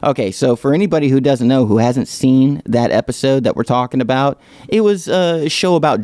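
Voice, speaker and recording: In a dark, mellow tone, a man speaks at a moderate pace with lively intonation, the sound dry and close with no echo. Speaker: podcast host. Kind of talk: casual solo Q&A podcast. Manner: tripping over words.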